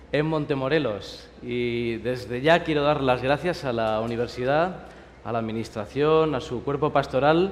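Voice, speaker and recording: In a Spanish accent, a man at medium pitch talks at a fairly slow pace, with audible room echo and noticeable background noise. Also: ordinary pitch variation. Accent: Spanish (Spain). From Spain. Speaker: pastor. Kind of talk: sermon.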